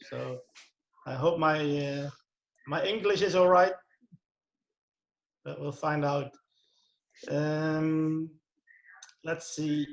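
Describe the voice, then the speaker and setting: This man speaks very slowly with a Dutch accent, leaving long, frequent pauses. His pitch is fairly high and his intonation fairly even. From Netherlands. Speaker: youth football coach and author. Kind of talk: presentation. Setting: video call.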